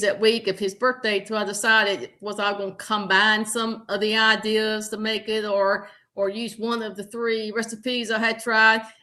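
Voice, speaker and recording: A woman talks fairly slowly with a slight Southern US accent. Her tone is bright and sharp, her intonation flat and monotone. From US South, southern Virginia. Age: 60s. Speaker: health coach. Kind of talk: interview. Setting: livestream.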